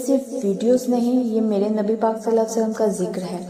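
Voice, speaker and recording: A woman talks at a high pitch, with noticeable background noise present. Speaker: religious content creator. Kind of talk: emotional religious talk to viewers. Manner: heartfelt, sorrowful.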